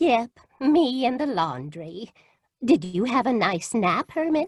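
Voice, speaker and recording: Putting on a character voice, a female-sounding speaker uses high pitch with very wide pitch swings at a fairly slow pace. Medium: stage play. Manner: sweetly genteel.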